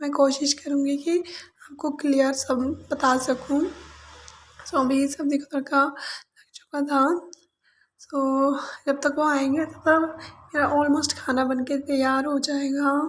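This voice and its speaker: A woman speaks at a high pitch and a very slow pace. Her intonation is monotone and flat. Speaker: vlogger. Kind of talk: vlog narration. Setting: home kitchen.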